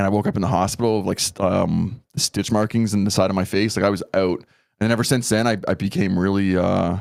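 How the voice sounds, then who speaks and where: In a very clean recording with a silent background, a man with a Canadian accent speaks very fast, his fairly low pitch kept at a fairly even intonation. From Canada. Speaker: content creator. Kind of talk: casual podcast interview.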